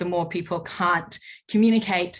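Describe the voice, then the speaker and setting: The speaker has a non-native accent and sounds somewhat breathy. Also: woman. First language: not English. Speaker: panelist. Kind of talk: panel discussion. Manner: halting.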